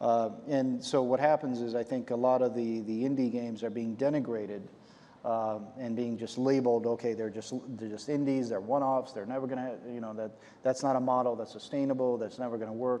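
The voice has a dark, mellow tone, a monotone, flat intonation and a fairly quick pace. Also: man. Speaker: moderator, games company executive. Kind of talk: onstage interview. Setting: stage with audience. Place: stage. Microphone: lapel.

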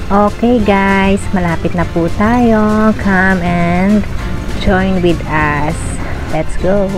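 A woman speaks very slowly with fairly even intonation and very even loudness. Music plays clearly in the background. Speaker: vlogger. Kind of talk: casual vlog chat. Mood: cheerful. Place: bus. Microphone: phone near.

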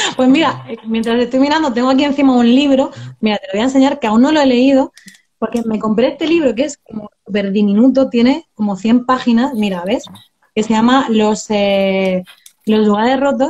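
This woman's voice sits high, with ordinary pitch variation. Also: moderate pace. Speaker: book blogger. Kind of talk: casual chat. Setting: live video call. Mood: relaxed, friendly. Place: home room. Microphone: phone; video call.

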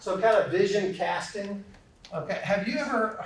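This man's voice sits high for a man, carries a slight Southern US accent, and has audible room echo around it. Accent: slight Southern drawl. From US South. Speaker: corporate trainer and speaker. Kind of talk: interactive lecture. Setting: classroom with audience. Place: classroom.

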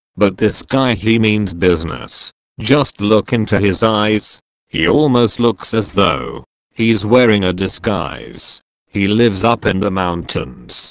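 Recorded with a dry, close sound and no echo, a man uses vocal fry at a fairly low pitch, speaking at a very slow pace with ordinary pitch variation. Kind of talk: rhymed spoken-word poem, satirical and provocative.

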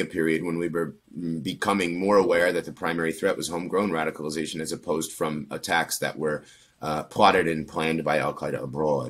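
Speaking at a fairly quick pace in an American accent, a man with a very deep, low pitch keeps his intonation fairly even. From Pennsylvania, US. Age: 30s. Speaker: former extremist turned counter-extremism researcher; interview guest. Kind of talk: interview. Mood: calm, reflective. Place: home room. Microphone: earbuds.

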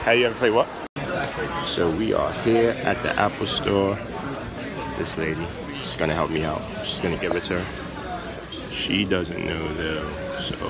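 With crowd noise behind him, a man speaks at a fairly slow pace, using ordinary pitch variation and long, frequent pauses. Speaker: vlogger. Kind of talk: casual vlog chat. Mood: excited, planning a surprise.

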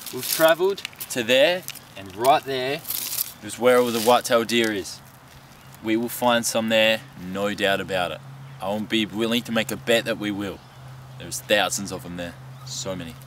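A man at a moderate pace with ordinary pitch variation, big swings in loudness and long, frequent pauses, in a dry sound with no echo over light background noise. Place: forest. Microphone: camera far.

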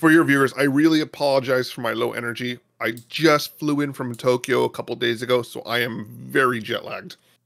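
Using a raspy, put-on character voice, a man talks at a medium pitch and a fairly quick pace. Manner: low energy.

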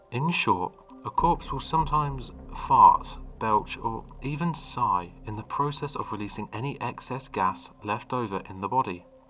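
A man with big swings in loudness, music in the background. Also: moderate pace. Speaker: creepypasta narrator. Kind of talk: ghost story telling.

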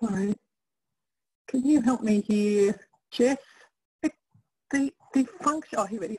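With a dark, mellow tone and ordinary pitch variation, a woman speaks at a moderate pace with long, frequent pauses, the sound dry with no echo. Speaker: webinar host. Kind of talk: webinar moderating. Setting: video call webinar. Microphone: headset.

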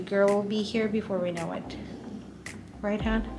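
Flat, monotone delivery comes at a moderate pace over noticeable background noise. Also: woman. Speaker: vlogger in labor. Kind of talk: casual vlog chat. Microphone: phone near.

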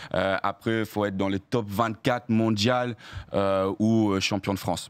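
Fairly even in intonation, this man talks at a fairly low pitch. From Australia. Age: 20s. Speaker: hurdler; guest. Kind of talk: casual chat. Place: studio. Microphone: studio mic.

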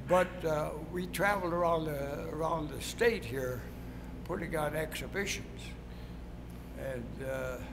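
A man speaks at a fairly slow pace against loud background noise. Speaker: retired track coach. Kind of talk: interview answer. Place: gym.

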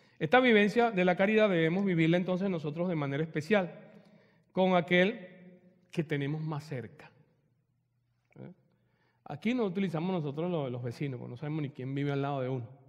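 A man's fairly high, animated voice at a fairly quick pace, with lively intonation, big swings in loudness and long, frequent pauses, over a quiet background. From Venezuela, Margarita Island; Venezuela. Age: 50s. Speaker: retreat speaker; speaker. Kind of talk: spiritual talk with personal testimony. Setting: church hall with audience. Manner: halting. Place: church.

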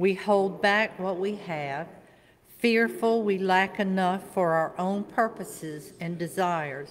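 Against light background noise, a woman speaks at a very slow pace with ordinary pitch variation. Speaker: worship leader. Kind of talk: reading aloud. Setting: church. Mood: calm, solemn. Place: church. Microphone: podium.

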